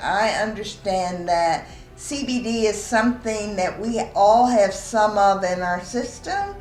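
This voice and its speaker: A woman talks at a medium pitch with ordinary pitch variation while music plays in the background. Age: old. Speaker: medical cannabis patient. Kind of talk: interview answer.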